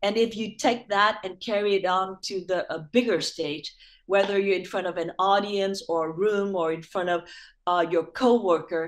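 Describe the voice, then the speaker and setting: A woman talks in an unremarkable speaking voice. Her pitch varies in an ordinary way. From Vietnam, moved to US at nine and a half. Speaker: actress and former TV host. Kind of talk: interview. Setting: video call.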